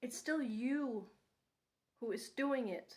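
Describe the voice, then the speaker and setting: In a non-native accent, a woman speaks, her pitch moving up and down in a typical way. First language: not English. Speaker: vlogger. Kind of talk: unscripted personal monologue. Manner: unscripted with pauses; hesitant with fillers.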